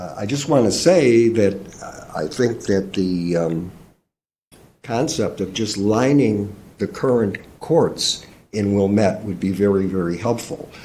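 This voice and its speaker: A dark, mellow, somewhat breathy voice moves at a fairly slow pace with lively intonation. Audible room echo surrounds it. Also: man, fairly low pitch for a man. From Chicago area. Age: 70s. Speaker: public commenter at park board meeting. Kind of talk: public comment. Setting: public meeting room. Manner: halting, many fillers.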